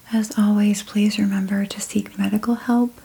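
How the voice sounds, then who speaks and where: A soft-spoken woman with a gentle tone, medium pitch and fairly slow pace, over noticeable background noise. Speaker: ASMR artist. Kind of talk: ASMR reiki session. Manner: gentle, soft-spoken.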